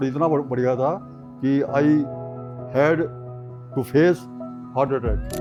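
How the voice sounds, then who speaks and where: Music plays in the background while a man speaks at a fairly high pitch with fairly even intonation. He leaves long, frequent pauses. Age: 80s+. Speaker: retired former university worker, grandfather. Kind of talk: interview answer, life story.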